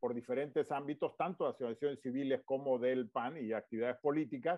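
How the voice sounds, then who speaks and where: Speaking with a Tabasco accent, a man talks at a fairly quick pace with a fairly high pitch and lively intonation. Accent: Tabasco Mexican Spanish. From Tabasco, Mexico. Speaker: politician and businessman. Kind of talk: interview.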